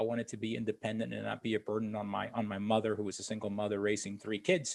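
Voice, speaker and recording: A man of medium pitch speaks with a Spanish accent. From Puerto Rico, then Florida from age 12. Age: 50s. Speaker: military veteran and leadership speaker. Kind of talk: personal storytelling in interview.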